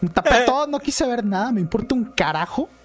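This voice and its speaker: A man with a Mexican accent, extremely high pitch and lively intonation, amid noticeable background noise. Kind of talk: casual chat. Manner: animated.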